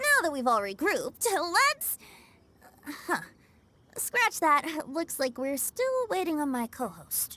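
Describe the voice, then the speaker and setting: A high, cheerful put-on character voice swings very widely in pitch. It moves at a fairly slow pace with long, frequent pauses. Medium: video game. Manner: cheerful, breezy.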